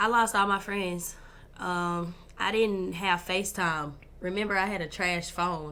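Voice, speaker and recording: At a fairly slow pace, a woman with a medium pitch speaks in a bright, sharp tone with fairly even intonation. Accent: Southern Arkansas. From US South, Pine Bluff, Arkansas. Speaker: entrepreneur. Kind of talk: casual chat.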